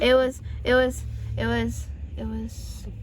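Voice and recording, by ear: At a slow pace, a woman talks at a fairly high pitch with little pitch movement.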